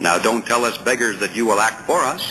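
The voice belongs to a man. Background noise is clearly audible throughout. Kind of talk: audiobook reading aloud of a political essay. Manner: formal, measured, steady reading pace; rhetorical, earnest, emphatic on questions and objections.

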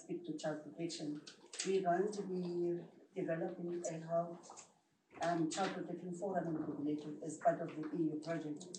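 A woman's monotone, flat voice comes through noticeable background noise. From South Africa. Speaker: health rights project worker; presenter. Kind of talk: audience comment. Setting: seminar room with audience. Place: meeting room. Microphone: camera far.

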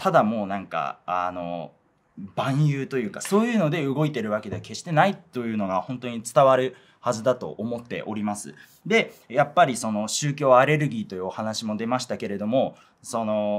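With an ordinary speaking voice, a man talks at a moderate pace and medium pitch, his intonation lively and his loudness swinging widely. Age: 20s. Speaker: rapper. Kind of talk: interview.

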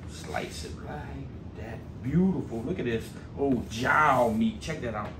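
A man speaks at a very slow pace over noticeable background noise. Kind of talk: casual cooking vlog chat. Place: garage. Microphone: camera far.

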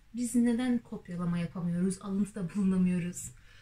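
With lively intonation, a woman speaks in a somewhat breathy voice of dark, mellow tone. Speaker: university student vlogger. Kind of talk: comedic rant monologue. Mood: ironic, frustrated humor. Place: home room. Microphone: camera far.

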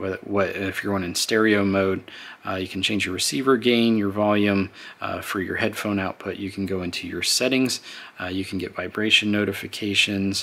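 A moderate pace with monotone, flat intonation. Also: man. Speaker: product reviewer. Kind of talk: tutorial. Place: home room.

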